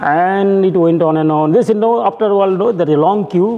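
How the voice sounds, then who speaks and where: Room echo is audible as a man speaks in a high pitch with ordinary pitch variation. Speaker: professor. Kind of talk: lecture.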